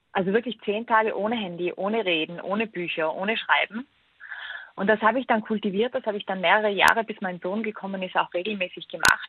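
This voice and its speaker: A woman speaks in an ordinary speaking voice, medium-pitched, with ordinary pitch variation. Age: 30s. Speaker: author and digital detox expert. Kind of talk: interview.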